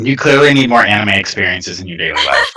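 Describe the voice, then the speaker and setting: Using a put-on character voice at medium pitch, a man speaks at a very fast pace. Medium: actual play. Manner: excitable, eager.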